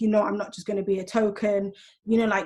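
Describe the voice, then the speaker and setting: A somewhat breathy woman with a British accent. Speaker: teacher and school governor. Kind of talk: panel discussion. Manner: fast; animated.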